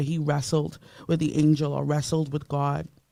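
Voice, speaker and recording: A woman's very deep, low voice with a dark, mellow tone at a fairly quick pace. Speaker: radio host. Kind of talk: radio talk show. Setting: radio studio, live broadcast. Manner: animated.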